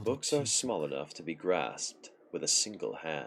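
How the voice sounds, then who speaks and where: Using a put-on character voice, a man speaks at a moderate pace with a very deep, low, resonant pitch and big swings in loudness. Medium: game stream. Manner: calm, gentle, chilling.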